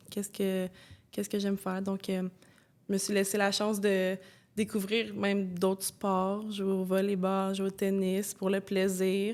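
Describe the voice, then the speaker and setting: A woman at a medium pitch speaks with monotone, flat intonation and very even loudness on a very clean recording with a silent background. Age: 20s. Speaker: former elite basketball player, social work student. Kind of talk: podcast interview answer. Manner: casual, hesitant.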